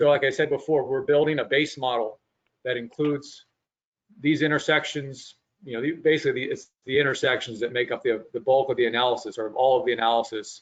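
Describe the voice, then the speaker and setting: Speaking at a very fast pace, this man holds a medium pitch with fairly even intonation. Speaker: traffic engineering consultant. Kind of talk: presentation to public meeting. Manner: short breaths between sentences.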